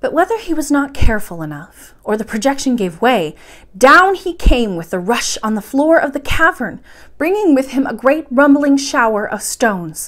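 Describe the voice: A woman with a high voice talks at a moderate pace, making big pitch swings. Her tone is fairly bright, and she pauses only a few times.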